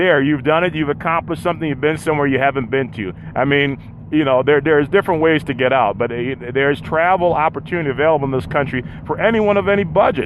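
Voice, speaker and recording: A man with a fairly high pitch talks at a very fast pace with ordinary pitch variation over noticeable background noise. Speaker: podcast host on a road trip. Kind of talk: live solo podcast monologue. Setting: in a vehicle, mobile. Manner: halting, repeated words.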